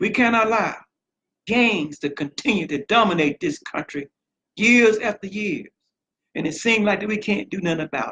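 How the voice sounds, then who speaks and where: A man speaks at a moderate pace in a raised, projected voice that is high-pitched, bright and sharp, with lively intonation and long, frequent pauses. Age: 60s. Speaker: political candidate. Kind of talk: campaign speech.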